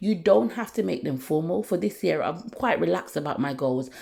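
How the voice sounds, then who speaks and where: In a very clean recording with a silent background, a woman with vocal fry speaks at a fairly quick pace. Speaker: natural hair care vlogger. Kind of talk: tutorial. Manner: fast.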